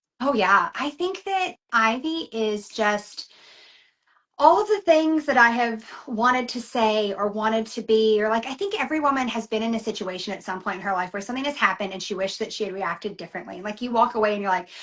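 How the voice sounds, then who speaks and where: A woman with a Southern US accent talks fairly quickly, her intonation lively. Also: fairly high pitch for a woman. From US South. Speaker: novelist. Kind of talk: casual interview. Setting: live video chat.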